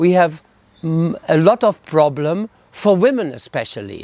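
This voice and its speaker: High in pitch with lively intonation, a man talks at a fairly slow pace in a dry, close sound with no echo. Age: 70s. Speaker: aging hippie musician. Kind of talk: monologue interview.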